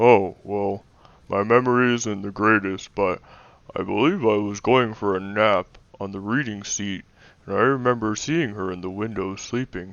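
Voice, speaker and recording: Putting on a character voice, a man speaks at a fairly low pitch and a moderate pace. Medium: audio drama. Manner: hesitant, stammering.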